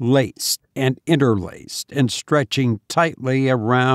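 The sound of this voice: The voice is an unforced reading voice with fairly even intonation. The background is quiet.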